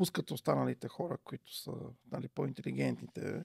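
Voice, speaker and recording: The background is quiet. A man talks with a moderate pace. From Bulgaria, Vratsa region; Bulgaria. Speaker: parent outreach expert; podcast guest. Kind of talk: casual chat. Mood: animated, indignant at times. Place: studio. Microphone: studio mic.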